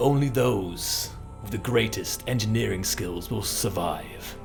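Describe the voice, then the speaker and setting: A man uses a put-on character voice at a medium pitch, talking at a fairly slow pace. Loud music plays behind him. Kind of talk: announcer voiceover. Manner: cringey, dramatic, put-on.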